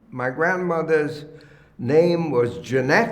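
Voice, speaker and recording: A man's fairly high voice at a very slow pace, with audible room echo and noticeable background noise. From Germany, Cologne. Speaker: oral history interviewee. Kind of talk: oral history testimony. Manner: halting, many fillers.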